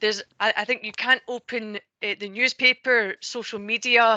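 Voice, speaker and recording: A woman's bright, sharp, fairly high voice in a Scottish accent, at a moderate pace with monotone, flat intonation. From Scotland, Ayrshire. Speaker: energy sector panelist. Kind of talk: online panel discussion.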